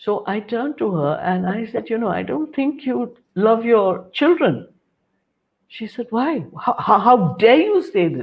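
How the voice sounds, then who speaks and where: With vocal fry and a fairly high pitch, a woman speaks at a fairly slow pace, her pitch swinging very widely. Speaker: cancer counsellor and motivational speaker. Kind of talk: interview.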